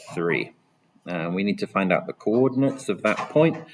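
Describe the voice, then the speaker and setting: This is a man speaking. His pitch sits fairly low. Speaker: maths teacher. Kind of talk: tutorial.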